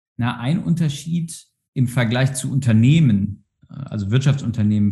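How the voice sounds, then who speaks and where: Somewhat breathy, the voice has a dark, mellow tone and lively intonation. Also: man. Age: 30s. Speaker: organisational psychologist, university staff. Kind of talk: interview. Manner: halting, many fillers.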